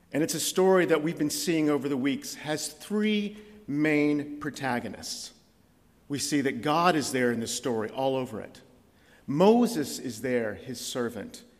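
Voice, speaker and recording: Audible room echo surrounds a man speaking at a fairly slow pace with a fairly high pitch and lively intonation. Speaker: visiting preacher. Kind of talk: sermon. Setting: church.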